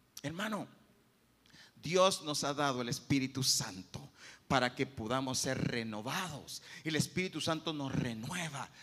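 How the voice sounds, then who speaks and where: The man's voice has a bright, sharp tone. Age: 50s. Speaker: pastor. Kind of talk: sermon.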